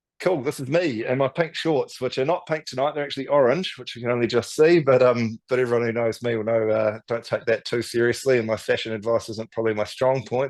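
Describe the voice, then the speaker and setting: This man has a New Zealand accent and a medium pitch. He talks at a fairly quick pace with ordinary pitch variation. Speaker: native tree restoration business founder. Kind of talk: webinar presentation. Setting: online webinar. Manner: fast; animated.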